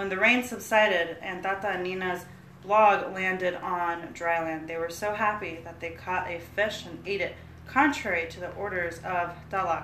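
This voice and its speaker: A woman at a medium pitch and moderate pace, with ordinary pitch variation and big swings in loudness, over noticeable background noise. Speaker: podcast co-host. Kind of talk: casual chat. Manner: halting.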